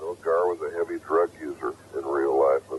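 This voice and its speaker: With an American accent, a man speaks in a dry, close sound with no echo over noticeable background noise. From United States. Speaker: actor. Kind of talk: interview answer.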